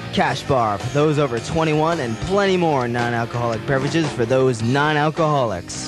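Clear music plays behind a man talking at a fairly quick pace with hardly any pauses. His voice has ordinary pitch variation and a dry sound with no echo. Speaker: radio announcer. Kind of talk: radio station event promo. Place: studio.

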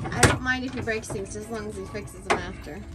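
Loud music plays in the background as a woman talks at a moderate pace. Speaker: family vlogger filming her husband. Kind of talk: casual vlog chat. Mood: cheerful, encouraging. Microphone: phone near.

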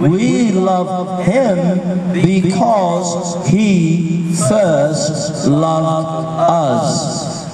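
The speaker is a man. Loud background noise fills the recording. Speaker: street preacher. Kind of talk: sermon. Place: street. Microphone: pa.

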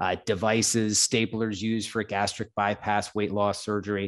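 A man in a normal speaking voice, with an American accent, fairly low pitch and moderate pace, against a quiet background. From upstate New York. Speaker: entrepreneur and investor; podcast guest. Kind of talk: interview. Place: home room. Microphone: studio mic.

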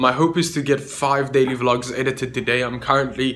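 A man at a moderate pace, flat and monotone. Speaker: daily vlogger. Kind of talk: casual vlog chat. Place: home room. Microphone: phone near.

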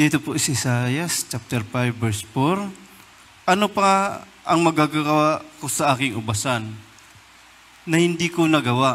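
Using an ordinary speaking voice, a man talks at a fairly slow pace with a fairly high pitch and lively intonation. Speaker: service emcee. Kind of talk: announcement and scripture reading. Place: church. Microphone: podium.

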